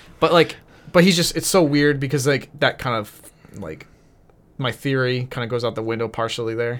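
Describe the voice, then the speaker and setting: An ordinary speaking voice from a man with an American accent, medium in pitch, at a moderate pace. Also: ordinary pitch variation. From New Hampshire, US. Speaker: filling-in co-host, coworker of host. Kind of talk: casual chat.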